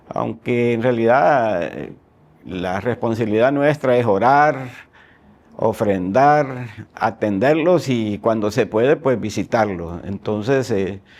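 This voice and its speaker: A man talks at a very slow pace, with ordinary pitch variation. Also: medium pitch for a man. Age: 60s. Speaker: agronomist and church missions coordinator. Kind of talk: testimony interview.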